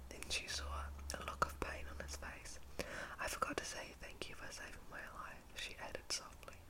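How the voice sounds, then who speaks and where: Whispering at a moderate pace, a woman comes through over noticeable background noise. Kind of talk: storybook reading. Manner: whispered, soft.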